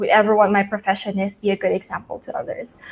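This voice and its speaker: A woman speaks with a Filipino accent. Her pitch is fairly high. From northern Philippines. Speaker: entrepreneur, alumna. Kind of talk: interview.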